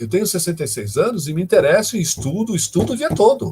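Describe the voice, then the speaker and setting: Very wide pitch swings run through speech at a fairly quick pace. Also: man. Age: 60s. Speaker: professor, data science lecturer. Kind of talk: live online lecture Q&A. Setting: live stream. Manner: conversational, many fillers.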